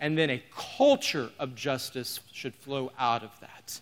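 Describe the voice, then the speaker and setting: Using a fairly high pitch and ordinary pitch variation, a man with an American accent speaks at a fairly slow pace. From Oklahoma. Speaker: pastor. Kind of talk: sermon. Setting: church with live audience.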